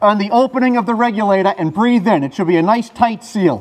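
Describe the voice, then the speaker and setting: The speaker has a Boston accent, a fairly quick pace and ordinary pitch variation. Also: man. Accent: Boston-area. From North Quincy, Massachusetts; Massachusetts. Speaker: fire lieutenant; firefighter instructor. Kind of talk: equipment tutorial.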